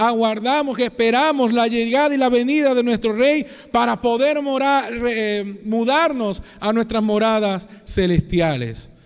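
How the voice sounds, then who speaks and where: The speech moves at a fairly slow pace with very even loudness and ordinary pitch variation, with noticeable background noise behind it. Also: man. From Venezuela, Maracaibo (Zulia). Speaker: pastor. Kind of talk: sermon.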